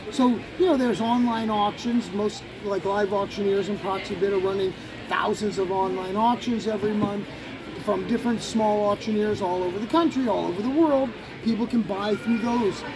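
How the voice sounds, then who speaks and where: Against noticeable background noise, a man with a high voice speaks at a moderate pace with ordinary pitch variation. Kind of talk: interview answer. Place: hall. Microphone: phone near.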